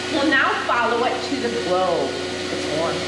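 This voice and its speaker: Over loud background noise and audible room echo, a woman speaks at a fairly slow pace. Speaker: farm educator tour guide. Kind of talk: tutorial. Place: farm machine.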